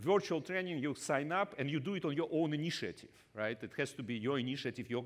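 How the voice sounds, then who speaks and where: A man with a Russian accent talks at a fairly quick pace with lively intonation, on a very clean recording with a silent background. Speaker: business school professor. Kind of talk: conference talk. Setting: stage with audience. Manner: halting, many fillers.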